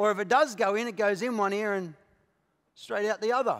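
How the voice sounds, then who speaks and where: A man speaks against a quiet background. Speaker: pastor preaching. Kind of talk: sermon. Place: church. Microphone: headset.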